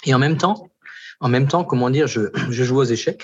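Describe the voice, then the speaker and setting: A man's somewhat breathy, medium-pitched voice at a moderate pace, with lively intonation. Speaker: pastor. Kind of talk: testimony.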